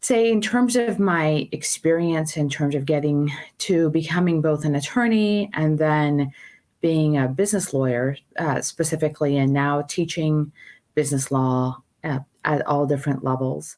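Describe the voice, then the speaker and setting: Very deep and low in pitch, a woman with a Persian accent talks at a moderate pace with lively intonation and very even loudness, on a very clean recording with a silent background. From Iran. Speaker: law professor. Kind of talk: interview.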